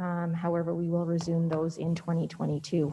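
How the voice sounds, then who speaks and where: A woman's fairly low voice at a moderate pace over light background noise. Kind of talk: meeting report presentation. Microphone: video call.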